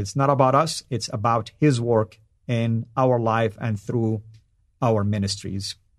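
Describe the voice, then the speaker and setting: A man speaks with a Saudi accent in a medium pitch and fairly even intonation. His pace is fairly slow, and the background is quiet. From Saudi Arabia. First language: Arabic. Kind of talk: live stream monologue. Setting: live stream. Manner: frequent fillers and hesitations.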